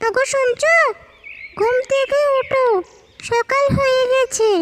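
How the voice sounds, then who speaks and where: A cartoonish character voice from a woman, extremely high in pitch, very slow, with fairly even intonation. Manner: brisk, commanding.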